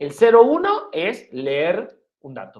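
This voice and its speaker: A man speaks with an Argentine accent. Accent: Argentine Spanish (voseo). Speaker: university lecturer. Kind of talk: lecture.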